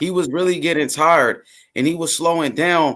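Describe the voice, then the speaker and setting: A man with a high pitch speaks at a moderate pace. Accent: Memphis. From US South, Memphis, Tennessee. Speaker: boxing fan commentator. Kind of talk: casual chat. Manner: halting.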